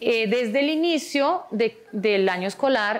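A woman's fairly high voice at a very slow pace. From Switzerland. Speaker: preschool teacher. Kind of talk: school testimonial video; interview answer. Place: classroom.

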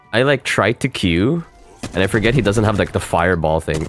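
Over music in the background, a man talks at a fairly quick pace with lively intonation. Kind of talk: casual gaming talk with friends.

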